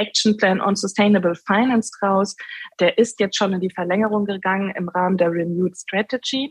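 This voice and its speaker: The voice is somewhat breathy, with fairly even intonation at a moderate pace. The sound is dry and close, with no echo. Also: woman. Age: 30s. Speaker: sustainable finance executive and political candidate. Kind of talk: interview.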